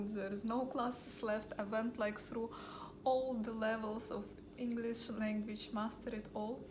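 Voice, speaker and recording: A woman with a Russian accent and a fairly high voice speaks at a moderate pace in a monotone, flat way, with audible room echo and noticeable background noise. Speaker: vlogger. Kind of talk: casual vlog talk. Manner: hesitant, many fillers.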